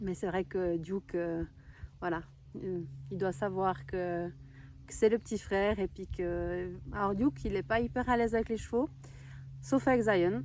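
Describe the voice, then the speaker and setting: With long, frequent pauses, a woman talks at a fairly slow pace. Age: 30s. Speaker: horse owner. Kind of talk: casual talk to camera. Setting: outdoors.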